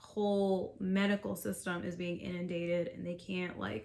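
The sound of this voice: A woman's fairly low voice with an American accent, slow pace, slightly mellow tone and vocal fry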